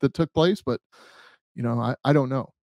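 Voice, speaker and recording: A man speaks in a dark, mellow tone. The sound is dry with no echo, over a quiet background. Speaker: podcast host, former police officer; podcast host. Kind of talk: casual podcast chat. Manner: hesitant, many fillers. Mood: thoughtful, uncertain. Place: home room. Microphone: studio mic.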